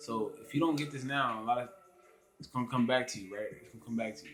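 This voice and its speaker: Music plays behind a man talking at a very fast pace. His pitch sits in the medium range. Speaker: vlogger. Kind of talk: casual vlog monologue. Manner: halting, stumbles over words.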